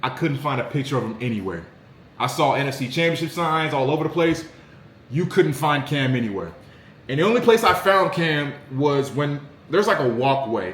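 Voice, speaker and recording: Speaking with an American accent, a man sounds animated, with lively intonation and a fairly high pitch. His pace is fairly quick, and audible room echo surrounds him. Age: 20s. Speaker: sports content creator. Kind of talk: casual commentary vlog.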